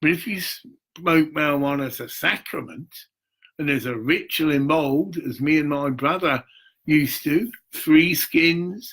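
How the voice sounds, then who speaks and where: His pitch is fairly high for a man, with ordinary pitch variation. He speaks at a fairly slow pace. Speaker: spiritual vlogger. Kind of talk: monologue vlog. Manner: rambling, animated.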